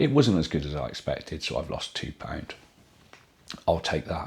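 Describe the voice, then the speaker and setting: The voice carries a British accent and shows vocal fry. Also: man. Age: middle-aged. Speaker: YouTuber vlogging a weight loss journey. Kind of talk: casual vlog with viewer Q&A. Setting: at home in dining room, to camera.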